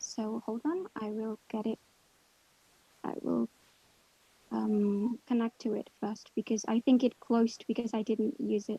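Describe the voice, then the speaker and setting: A woman with a non-native accent speaks at a very slow pace with long, frequent pauses, her fairly high, somewhat breathy voice dark and mellow in tone, with fairly even intonation. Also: dry, close sound with no echo. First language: not English. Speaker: guest presenter, English learner. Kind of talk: online workshop presentation.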